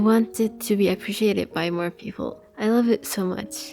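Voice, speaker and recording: A woman with a non-native accent and fairly even intonation, against noticeable background noise. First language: not English. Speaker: artist. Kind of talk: casual narration.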